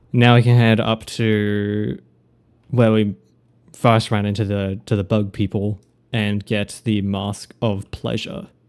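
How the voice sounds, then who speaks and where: A man speaks in an Australian accent at a very slow pace, his intonation flat and monotone. The recording is very clean, with a silent background. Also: fairly low pitch for a man. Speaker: video game streamer. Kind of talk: live gameplay commentary.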